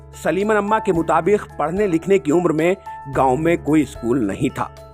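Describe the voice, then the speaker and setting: With music in the background, a man with a fairly high pitch speaks in very wide pitch swings. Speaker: news video narrator. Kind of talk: news story narration with poetic couplets.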